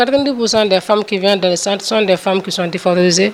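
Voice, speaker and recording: Against noticeable background noise, a woman speaks at a fairly quick pace and a medium pitch, with fairly even intonation. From Ivory Coast. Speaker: urologist surgeon. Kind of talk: interview.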